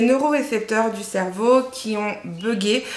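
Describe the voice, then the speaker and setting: A woman's fairly high-pitched voice amid audible room echo and noticeable background noise. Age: 30s. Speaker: book youtuber. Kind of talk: casual vlog talk to camera. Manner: halting, many fillers.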